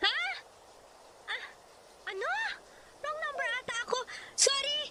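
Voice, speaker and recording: A woman's squeaky, put-on character voice, extremely high in pitch, with lively intonation at a moderate pace over light background noise. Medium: audio drama.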